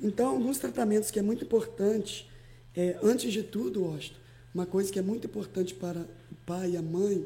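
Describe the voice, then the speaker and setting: At a moderate pace, a woman with a dark, mellow tone and vocal fry speaks with lively intonation. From Espírito Santo, Brazil (Alegre). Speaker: pastor. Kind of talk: podcast interview.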